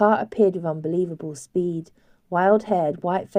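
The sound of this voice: The recording holds an unforced reading voice.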